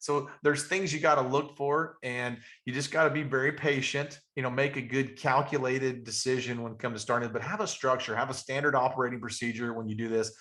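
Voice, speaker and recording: A man with an Appalachian accent talks very fast with hardly any pauses. His medium-pitched voice has a bright, sharp tone and fairly even intonation. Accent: Southern US (Appalachian). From Western North Carolina. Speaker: real estate investor and trainer. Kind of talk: webinar training talk.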